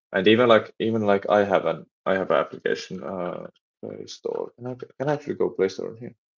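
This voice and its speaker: A man with a Finnish accent speaks at a fairly quick pace. His loudness swings widely. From Finland. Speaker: game developer and streamer. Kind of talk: live stream chat while coding. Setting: live stream. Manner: halting, many repetitions and fillers.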